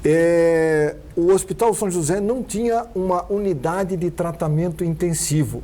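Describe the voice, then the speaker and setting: A man speaks at a high pitch and a fairly slow pace, with ordinary pitch variation. Noticeable background noise is present. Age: 60s. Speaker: TV talk show host. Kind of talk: TV interview.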